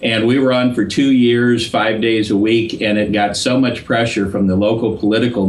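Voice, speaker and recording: A man keeps a moderate speed and fairly even intonation while audible room echo and noticeable background noise surround his voice. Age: 60s. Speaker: political activist. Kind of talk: interview.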